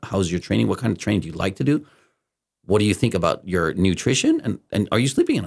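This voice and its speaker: A man talks at a very fast pace in a fairly low pitch with vocal fry and ordinary pitch variation. The recording is very clean, with a silent background. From Denmark. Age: 40s. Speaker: podcast host. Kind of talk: casual interview.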